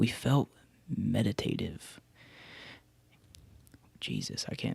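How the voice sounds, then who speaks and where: A whisper at a fairly slow pace. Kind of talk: read story. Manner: whispered.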